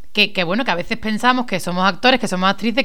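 A woman speaks at a very fast pace and medium pitch. Her tone is animated, bright and sharp. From Spain, Málaga. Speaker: radio host. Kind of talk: casual chat.

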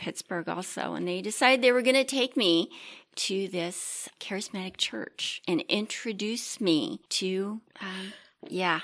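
A woman with an ordinary speaking voice and an American accent talks at a fairly slow pace in a medium pitch. Her intonation is lively, on a very clean recording with a silent background. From Maryland, Chesapeake Bay. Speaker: church member, grandmother. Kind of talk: casual interview.

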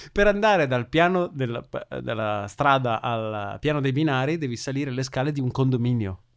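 Lively intonation carries a plain, everyday voice moving at a moderate pace. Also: man, medium pitch for a man. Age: 30. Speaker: physicist, tech podcast co-host. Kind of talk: casual chat.

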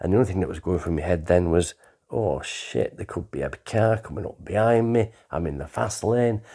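A man's very deep, low voice with vocal fry, at a fairly quick pace. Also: lively intonation. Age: 60s. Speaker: storyteller recounting his life. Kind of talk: personal life story narration.

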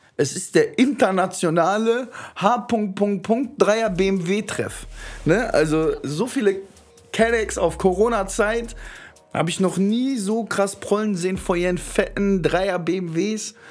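Over music in the background, a man with a high voice speaks at a very slow pace, with long, frequent pauses and ordinary pitch variation. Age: 20s. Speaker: podcast host. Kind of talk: casual chat. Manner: animated.

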